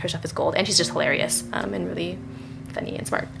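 A woman speaks with an American accent. Audible room echo and noticeable background noise fill the recording. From US Midwest (Michigan). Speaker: writer and adoption activist. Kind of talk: casual interview.

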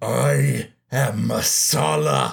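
A man puts on a raspy character voice. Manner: grandiose, indignant, menacing.

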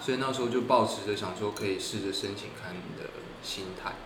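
Noticeable background noise and audible room echo surround a man speaking at a medium pitch with fairly even intonation. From Taiwan. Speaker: architecture student. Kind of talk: casual interview.

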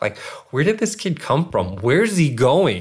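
Speaking at a fairly quick pace with an American accent, this voice is somewhat breathy and has ordinary pitch variation. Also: man. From US, Northern Virginia. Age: 30s. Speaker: content creator and filmmaker. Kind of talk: casual interview chat.

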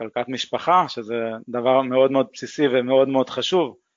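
This man's voice sits at a medium pitch, and his intonation stays fairly even. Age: 30s. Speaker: engineer and investor. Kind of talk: interview.

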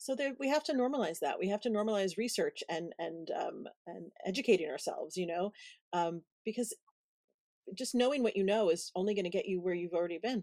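With an American accent, a woman speaks at medium pitch with lively intonation. Her tone is dark and mellow. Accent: Brooklyn accent deliberately dropped. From Brooklyn, New York City. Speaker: podcast host and event planner. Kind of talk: casual interview chat.

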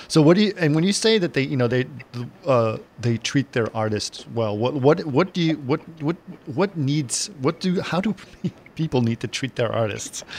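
A man's plain, everyday voice, fairly high in pitch, with lively intonation and a moderate pace. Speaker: podcast host. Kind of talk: casual interview chat.

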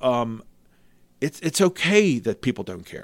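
A man speaks in a medium pitch. His intonation is lively. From Cecil County, Maryland. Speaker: charity fundraising company owner and auctioneer. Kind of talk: casual interview chat. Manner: fast talker, animated.

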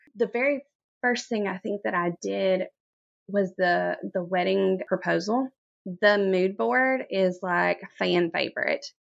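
A woman speaks at a fairly slow pace with a Mississippi accent. The sound is dry and close, with no echo. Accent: Southern US (Mississippi). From US South, Corinth, Mississippi. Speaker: floral designer and business owner. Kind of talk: interview.

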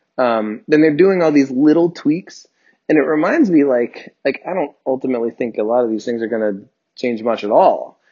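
A man with an unremarkable speaking voice and medium pitch talks at a moderate pace with lively intonation. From New Jersey. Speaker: sports podcast host. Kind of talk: casual chat. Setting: home recording, separate tracks.

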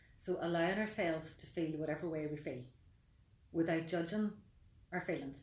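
A woman's fairly low voice, fairly quick, with a Mid Ulster accent and audible room echo. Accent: Mid Ulster Northern Irish. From Northern Ireland, County Tyrone. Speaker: life coach and therapist. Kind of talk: podcast interview.

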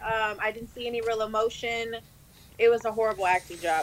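A woman's fairly high voice at a moderate pace, a plain, everyday voice. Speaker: podcast co-host. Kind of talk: casual chat. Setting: video call.

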